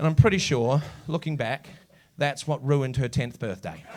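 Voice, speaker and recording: Amid noticeable background noise, a man with a New Zealand accent and fairly high pitch speaks at a moderate pace. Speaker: comedian. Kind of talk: stand-up. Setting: stage with audience. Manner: animated.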